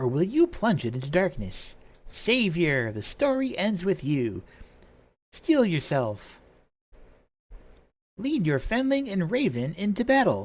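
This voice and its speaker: In a gravelly, raspy put-on character voice at a middle pitch, the speaker swings very widely in pitch at a fairly slow pace with long, frequent pauses, on a very clean recording with a silent background. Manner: grave solemn.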